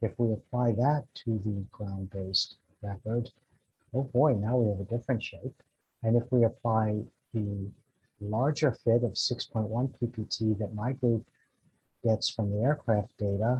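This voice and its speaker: A man speaks at a fairly slow pace in a somewhat breathy, dark and mellow tone with fairly even intonation. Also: medium pitch for a man. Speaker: atmospheric scientist. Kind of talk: conference talk.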